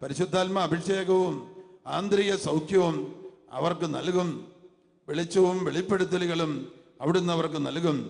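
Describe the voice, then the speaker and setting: A man with a high-pitched, animated voice speaks amid noticeable background noise and audible room echo. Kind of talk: sermon. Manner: animated, repeating phrases for the congregation.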